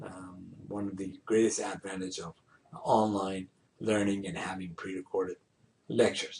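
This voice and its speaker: The voice is somewhat breathy, with fairly even intonation. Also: man. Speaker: engineering professor. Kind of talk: pre-recorded lecture. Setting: online pre-recorded lecture over slides. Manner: slow; hesitant, many fillers.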